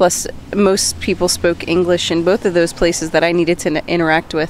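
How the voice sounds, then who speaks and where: Medium pitch from a woman's voice, with noticeable background noise. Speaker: co-host. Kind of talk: casual chat.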